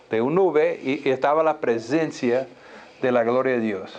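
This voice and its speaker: Speaking with a non-native accent, a man uses a medium pitch and ordinary pitch variation. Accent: foreign accent in Spanish. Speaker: pastor. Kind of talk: sermon. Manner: halting.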